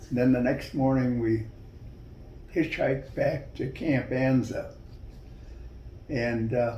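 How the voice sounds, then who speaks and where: A man speaks very slowly in a somewhat breathy, monotone, flat voice. He leaves long, frequent pauses. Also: medium pitch for a man. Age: 80s+. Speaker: war veteran. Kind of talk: interview answer. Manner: slow, hesitant.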